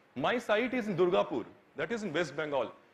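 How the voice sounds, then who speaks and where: This man talks at a fairly quick pace in a high pitch. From India. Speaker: architecture student; presenter. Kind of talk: presentation. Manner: halting. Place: hall.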